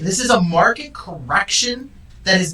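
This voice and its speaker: A man with an American accent uses a raised, projected voice, high in pitch with very wide swings. Noticeable background noise is present. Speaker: real estate agent and show host. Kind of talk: casual chat. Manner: loud; animated.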